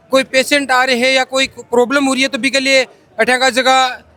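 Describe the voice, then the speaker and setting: A man's raised, projected voice at an extremely high pitch, monotone and flat in intonation, at a moderate pace, with a dry, close sound with no echo and noticeable background noise. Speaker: reporter. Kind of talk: field interview.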